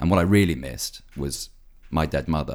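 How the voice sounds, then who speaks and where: Speaking at a very fast pace, a man uses a very deep, low pitch with vocal fry and lively intonation. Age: 20s. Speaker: actor and writer. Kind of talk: casual chat.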